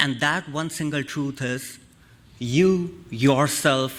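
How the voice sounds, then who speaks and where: Speaking with a strong non-native accent, a man has a fairly high-pitched voice. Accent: thick non-native. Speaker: guest speaker on Hinduism. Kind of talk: sermon. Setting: church service.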